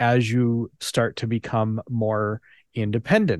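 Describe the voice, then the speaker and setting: A man with an unremarkable speaking voice talks at a medium pitch with fairly even intonation. The sound is dry and close with no echo, over a quiet background. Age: 40s. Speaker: nonprofit founder. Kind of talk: interactive presentation. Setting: video call.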